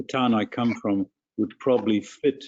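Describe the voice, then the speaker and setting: A South African accent, fairly even intonation and a moderate pace. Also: man. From South Africa, rural farm. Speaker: physician addressing town council. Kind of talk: public comment at council meeting.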